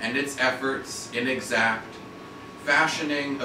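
A man talks at a very slow pace amid noticeable background noise, with audible room echo. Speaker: poet. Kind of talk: poetry reading. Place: shop. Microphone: camera far.

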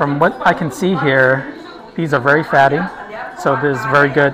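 Speech at a moderate pace with clear music in the background. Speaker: food reviewer. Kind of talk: casual food review vlog. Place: cafe. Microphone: phone near.

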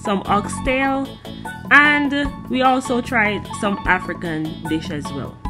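A woman talks while clear music can be heard behind her. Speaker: travel vlogger. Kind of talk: casual vlog chat. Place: cafe. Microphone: phone near.

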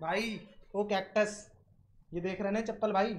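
This is a man speaking. His intonation is monotone and flat. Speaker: game streamer. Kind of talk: casual live stream chat.

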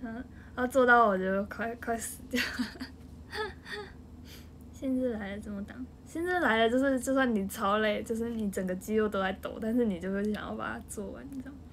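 A woman's fairly high voice with a Taiwanese accent, fairly quick between long, frequent pauses, with ordinary pitch variation. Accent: Taiwanese Mandarin. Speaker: idol group member. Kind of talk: casual livestream chat. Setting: home livestream. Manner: animated.

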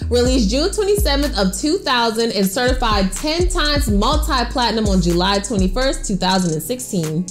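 Clear music plays in the background as a woman speaks at a fairly slow pace with very even loudness. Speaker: segment host. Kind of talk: countdown presentation. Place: home room.

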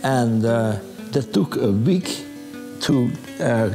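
A male speaker with clear music in the background. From Netherlands. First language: Dutch. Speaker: war survivor recounting childhood memories. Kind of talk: documentary interview answer. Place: home room.

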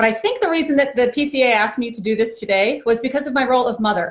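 A woman talks at a very fast pace with ordinary pitch variation over a quiet background. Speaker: trainer. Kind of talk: live-stream talk to parents. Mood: warm, empathetic. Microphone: phone near.

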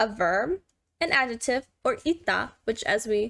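A woman with a fairly high pitch speaks against a quiet background. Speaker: livestreamer learning Korean. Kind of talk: casual live-streamed language lesson. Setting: live stream. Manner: casual, rambling. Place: home room.

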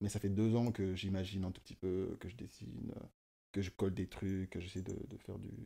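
This man talks at a fairly quick pace. His voice is fairly low, with a dark, mellow tone. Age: 20s. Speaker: self-taught fashion designer; guest. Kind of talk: casual chat; interview answer. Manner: halting, many fillers and repetitions. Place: home room. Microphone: studio mic.

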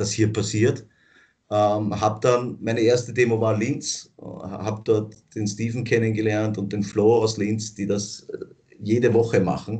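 A fairly slow, somewhat breathy man speaks with fairly even intonation over a quiet background. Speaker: protest co-organizer; interviewee. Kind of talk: interview. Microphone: video call.

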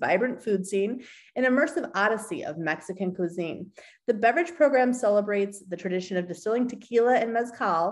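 A woman speaks at a fairly quick pace with lively intonation. The background is quiet. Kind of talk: screen-share walkthrough, partly reading course text. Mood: upbeat, enthusiastic. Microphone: webcam.

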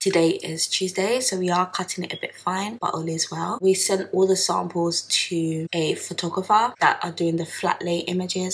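At a moderate pace, a woman speaks in a fairly low pitch with fairly even intonation. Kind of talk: casual vlog chat. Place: kitchen. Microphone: phone near.

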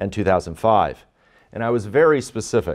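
Over a quiet background, the pitch varies in an ordinary way. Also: man. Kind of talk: courtroom argument. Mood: earnest, formal. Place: hall.

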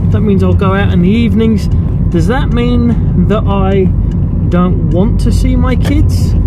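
Amid loud background noise, a man talks at a moderate pace, the sound dry with no echo. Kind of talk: casual vlog chat. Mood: reflective, candid. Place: car. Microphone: phone near.

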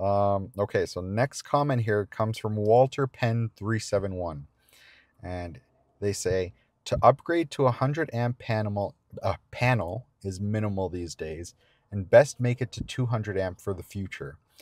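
Speaking at a fairly slow pace, a man uses a fairly low pitch, a slightly mellow tone and ordinary pitch variation.

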